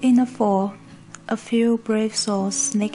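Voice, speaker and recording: Over noticeable background noise, a woman with a non-native accent speaks in a fairly high pitch. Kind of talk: book read-aloud for pronunciation practice.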